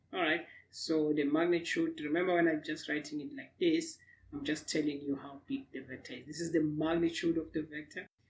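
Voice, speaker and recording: Someone with a non-native accent talks at a fairly quick pace. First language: not English. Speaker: physics teacher. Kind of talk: lecture. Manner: hesitant, many fillers.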